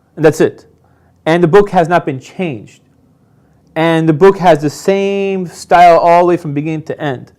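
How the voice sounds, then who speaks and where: A man with a slight Persian accent speaks at a high pitch and moderate pace, his intonation fairly even. He leaves long, frequent pauses, and the recording is very clean with a silent background. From Iran. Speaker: convert telling his story. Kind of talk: interview testimony.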